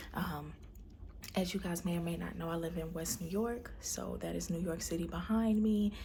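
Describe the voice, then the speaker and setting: Soft-spoken and with an American accent, a woman talks at a moderate pace amid audible room echo. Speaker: vlogger, stay-at-home mom. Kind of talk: personal video diary. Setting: at home. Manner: soft-spoken, speaking low; hesitant, many fillers.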